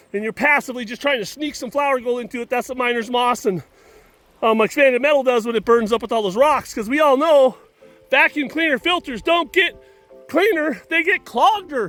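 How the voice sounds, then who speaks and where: A man projects his voice at a fairly quick pace, his tone bright and sharp and his pitch extremely high, in a dry, close recording with no echo. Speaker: gold prospecting equipment demonstrator. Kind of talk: outdoor equipment demonstration. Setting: outdoors at a dig site. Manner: loud, speaking over pump; casual, joking.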